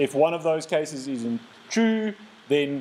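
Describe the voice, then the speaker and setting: A man speaks with lively intonation at a fairly high pitch. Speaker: lecturer. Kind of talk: lecture. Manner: halting, repeats words.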